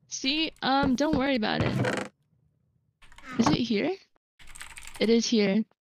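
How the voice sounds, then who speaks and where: A high-pitched woman speaks very slowly, with long, frequent pauses. The background noise is loud, and the sound is dry with no echo. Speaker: gamer on stream. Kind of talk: casual gaming chat. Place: home room.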